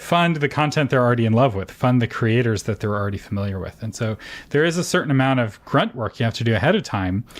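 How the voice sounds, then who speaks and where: It is a man with a normal speaking voice. His pitch sits in the medium range, with ordinary pitch variation. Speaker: podcast host. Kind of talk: podcast interview.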